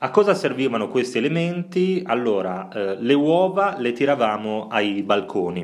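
Very wide pitch swings run through this man's speech, delivered at a moderate pace. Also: medium pitch for a man. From Italy, Bologna. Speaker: podcast co-host. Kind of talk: casual chat.

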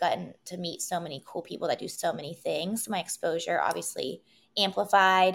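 A woman with an American accent speaks at a moderate pace in a medium pitch, with vocal fry, on a very clean recording with a silent background. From West Virginia, Wheeling. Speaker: entrepreneur, wellness event organizer. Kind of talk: casual interview.

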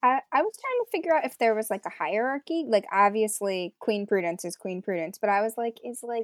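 A woman's ordinary speaking voice at a fairly high pitch and fairly quick pace, with lively intonation and a dry, close sound with no echo. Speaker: editor and PhD candidate. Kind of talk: casual chat.

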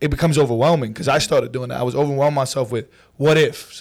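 Speaking at a very fast pace with a New York accent, a man is heard on a very clean recording over a silent background. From New York City, Brooklyn and Queens. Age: 20s. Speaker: social media comedian. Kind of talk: casual chat. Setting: studio.

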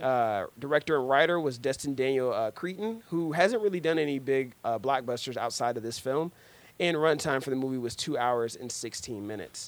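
A man with an American accent, an unremarkable speaking voice at medium pitch, lively intonation and moderate pace, in a very clean recording with a silent background. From US Midwest, Cincinnati, Ohio. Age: 20s. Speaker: podcast host, movie reviewer. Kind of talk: casual chat. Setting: studio.

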